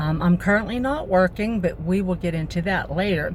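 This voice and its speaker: A woman's fairly low voice shows ordinary pitch variation as she talks at a moderate speed. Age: 60s. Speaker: vlogger and retired nurse. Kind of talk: personal vlog talk. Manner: hesitant, many fillers.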